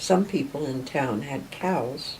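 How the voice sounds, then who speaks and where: A woman with an American accent and lively intonation, at a very slow pace, amid audible room echo. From western Maryland (Friendsville, Garrett County). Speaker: local history interviewee. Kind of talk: oral history reminiscence. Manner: unhurried, many filler pauses.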